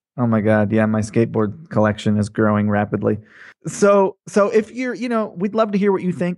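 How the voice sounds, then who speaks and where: The pitch swings very widely up and down. The pace is moderate, with a quiet background. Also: man. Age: 30s. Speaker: podcast co-host, e-commerce entrepreneur. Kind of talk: casual chat.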